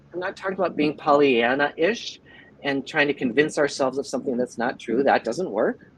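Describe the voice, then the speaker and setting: Fairly quick, fairly high-pitched male speech with ordinary pitch variation, noticeable background noise behind it. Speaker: psychologist and life coach. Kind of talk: interview. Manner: halting.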